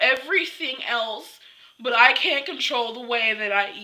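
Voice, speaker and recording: This is a woman's voice. She speaks in a raised, projected way. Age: 20s. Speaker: vlogger. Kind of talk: personal vlog confession. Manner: halting.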